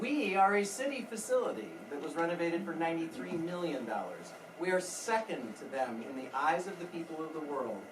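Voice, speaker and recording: The speech comes fairly quickly, with noticeable noise behind it. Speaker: observatory director giving staff speech. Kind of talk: welcome speech at staff event. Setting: stage with audience, no microphone. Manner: loud; hesitant with fillers.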